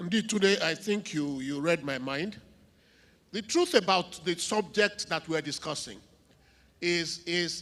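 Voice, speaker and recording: Fairly slow speech with long, frequent pauses, on a very clean recording with a silent background. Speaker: panel moderator. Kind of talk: panel moderation. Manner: loud.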